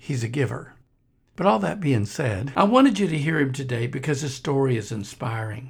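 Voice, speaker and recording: A man's medium-pitched voice with vocal fry at a fairly quick clip, on a very clean recording over total silence. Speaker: podcast host and missionary minister. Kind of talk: podcast intro and appeal.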